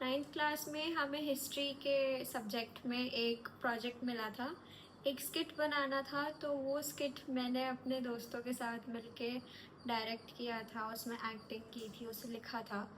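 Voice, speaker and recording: A woman with a high-pitched voice and ordinary pitch variation talks with hardly any pauses over noticeable background noise. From north India, Delhi and Nagpur. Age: 20s. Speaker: actor. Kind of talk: self-introduction monologue. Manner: casual, conversational.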